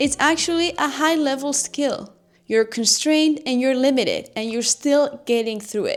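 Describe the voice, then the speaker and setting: A woman with a high pitch and a Spanish accent, ordinary pitch variation and a moderate pace. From Spain. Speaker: YouTuber, communication coach. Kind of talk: tutorial.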